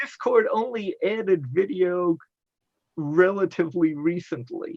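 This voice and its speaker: Speaking fairly slowly with lively intonation, a man with an American accent uses a high pitch. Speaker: science fiction convention organizer. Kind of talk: panel discussion.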